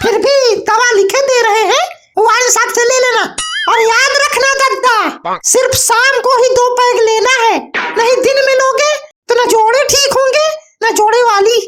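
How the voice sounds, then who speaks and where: At an extremely high pitch, a cartoonish character voice speaks. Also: moderate pace. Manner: sarcastic, exasperated.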